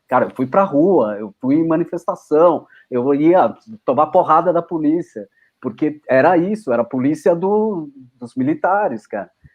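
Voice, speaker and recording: The man's voice is fairly high in pitch, with ordinary variation. He talks at a moderate pace. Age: 60s. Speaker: film editor. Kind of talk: casual chat. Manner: halting, many false starts and repetitions.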